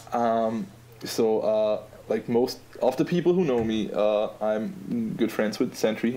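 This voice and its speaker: A man with an Austrian accent speaks at a fairly slow pace in a dark, mellow voice with lively intonation. His loudness stays very even. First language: German. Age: 20s. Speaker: app designer. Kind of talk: casual podcast interview.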